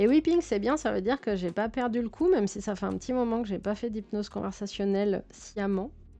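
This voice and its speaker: A woman talks at a fairly quick pace with hardly any pauses, her tone dark and mellow. Her pitch is medium, with ordinary variation. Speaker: streamer and physiotherapist. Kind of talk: casual live stream chat while building. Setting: live stream. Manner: calm, soothing low-key tone.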